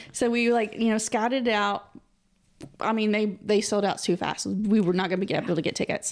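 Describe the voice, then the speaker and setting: On a very clean recording with a silent background, a woman in a plain, everyday voice talks at a fairly quick pace and a fairly high pitch, with very even loudness and fairly even intonation. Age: 40s. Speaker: podcast co-host. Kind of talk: casual chat; trivia quiz reading.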